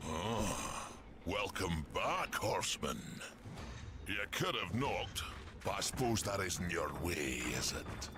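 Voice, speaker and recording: A man's put-on character voice at a fairly slow pace, with long, frequent pauses, over loud background noise. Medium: video game. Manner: gruff, wry.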